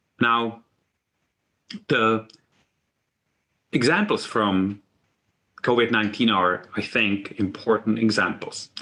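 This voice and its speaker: With a non-native accent, a man speaks very slowly at a medium pitch, using long, frequent pauses, fairly even intonation, very even loudness and a bright, sharp tone. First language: not English. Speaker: university medical leader. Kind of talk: symposium talk. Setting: virtual symposium.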